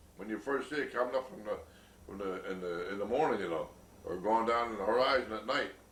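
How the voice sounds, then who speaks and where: A man at medium pitch and a fairly quick pace, with audible room echo and noticeable background noise. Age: 80s+. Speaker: elderly grandfather interviewed about memories. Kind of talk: oral history interview. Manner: halting, many fillers and repeats.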